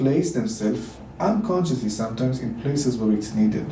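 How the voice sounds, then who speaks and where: Speaking at a moderate pace in a medium pitch, a man has a dark, mellow, somewhat breathy tone with ordinary pitch variation, and audible room echo fills the recording. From Israel. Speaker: dance teacher and ceremony leader. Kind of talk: podcast interview.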